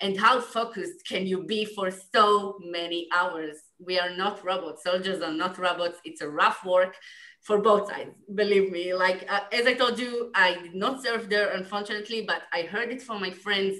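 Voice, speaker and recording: A woman with an Israeli accent talks at a moderate pace. Her pitch is medium, with ordinary pitch variation. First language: Hebrew. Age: 20s. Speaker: former soldier, film subject. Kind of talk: panel Q&A. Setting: video call. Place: home room. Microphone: video call.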